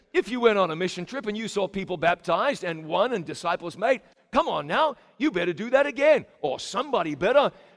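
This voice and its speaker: At a fairly quick pace, a man speaks at a high pitch with very wide pitch swings. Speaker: preacher. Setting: church camp meeting with live congregation. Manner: animated, emphatic, urgent, repeating phrases for punch; storytelling cadence, conversational asides to congregation.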